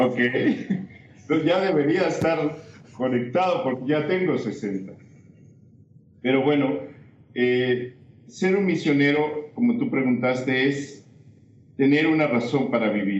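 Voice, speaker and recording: Lively intonation and a fairly high pitch mark this man's speech. He talks at a very slow pace with long, frequent pauses, and audible room echo surrounds him. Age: 60s. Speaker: missionary. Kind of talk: testimony.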